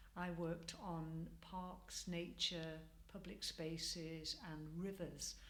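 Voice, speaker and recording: A woman with a Mancunian accent speaks very slowly in a fairly low pitch. Her intonation is monotone and flat, and room echo is audible. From Manchester, northern England. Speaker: community project participant. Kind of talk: interview. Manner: hesitant, many fillers.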